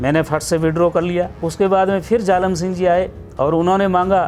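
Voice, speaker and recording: Fairly even intonation from a man, at a moderate pace. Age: 60s. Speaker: senior politician. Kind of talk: interview.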